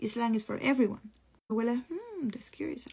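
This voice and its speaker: A woman talks at a fairly quick pace with a strong Spanish accent. Her voice is fairly high-pitched, with a dark, mellow tone. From Costa Rica. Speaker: content creator. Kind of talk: personal testimony. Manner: casual, conversational.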